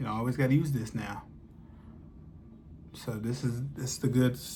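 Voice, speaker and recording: A man speaks at a fairly quick pace in a dark, mellow tone that is somewhat breathy. His pitch variation is ordinary, and the room echo is audible. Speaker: vlogger. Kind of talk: casual chat. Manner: halting, many fillers.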